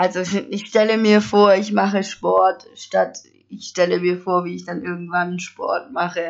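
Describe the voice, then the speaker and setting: Her loudness swings widely. The woman talks at a fairly slow pace. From Stuttgart area, Swabia. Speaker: podcaster. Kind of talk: casual monologue. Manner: animated.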